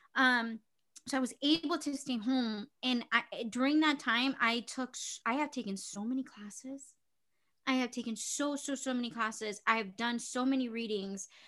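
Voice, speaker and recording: A woman's high, bright, sharp voice at a moderate pace, with fairly even intonation, in a very clean recording with a silent background. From Chicago, Little Village (Mexican-American). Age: 20s. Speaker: actress and singer. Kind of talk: casual chat.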